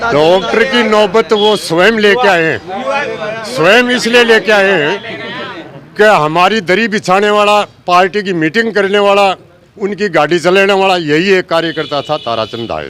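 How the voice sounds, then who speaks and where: A man's high voice with ordinary pitch variation, set against noticeable background noise. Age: 60s. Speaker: villager voter. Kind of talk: street interview.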